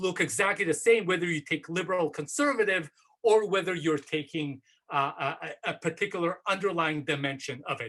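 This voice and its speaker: A man speaks with a high pitch and lively intonation. He keeps a moderate pace. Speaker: professor. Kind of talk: academic seminar talk. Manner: hesitant, many fillers.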